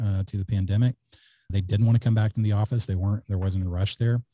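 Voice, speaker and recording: In an American accent, the speaker has a dark, mellow tone that is somewhat breathy, with fairly even intonation. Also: man. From South Texas. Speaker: company founder and CEO. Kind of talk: casual interview.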